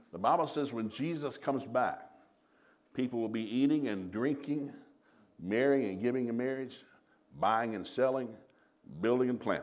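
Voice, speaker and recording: A man with a Southern US accent talks at medium pitch, leaving long, frequent pauses. Audible room echo surrounds his voice. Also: ordinary pitch variation. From US South. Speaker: traveling preacher and marriage teacher. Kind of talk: sermon. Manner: fast.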